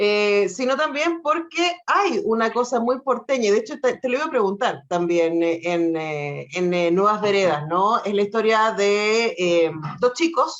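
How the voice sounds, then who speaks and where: A woman speaks with a Chilean accent at a fairly slow pace. Her pitch swings very widely, and she hardly pauses. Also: fairly high pitch for a woman. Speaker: radio host. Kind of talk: interview.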